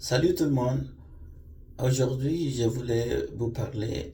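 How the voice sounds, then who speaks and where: A man is speaking. Audible room echo can be heard. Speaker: vlogger. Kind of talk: personal storytelling monologue. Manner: halting, many hesitations.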